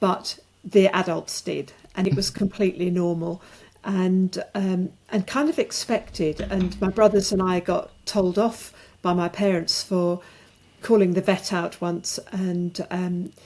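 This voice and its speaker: A woman with a British accent speaks at a medium pitch and a fairly slow pace. Her tone is dark and mellow, her intonation fairly even. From rural England. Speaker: author and alcohol-free coach. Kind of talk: podcast interview. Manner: halting.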